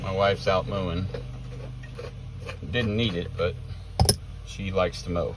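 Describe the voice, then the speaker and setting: A man with a very deep, low pitch talks at a moderate pace, recorded dry with no echo and with noticeable background noise. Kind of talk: casual vlog chat. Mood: relaxed, reminiscing. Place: car. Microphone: phone near.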